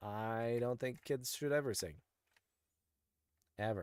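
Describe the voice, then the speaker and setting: The man's medium-pitched voice moves at a fairly slow pace. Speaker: gaming streamer. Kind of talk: live gameplay commentary. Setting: live stream. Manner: animated.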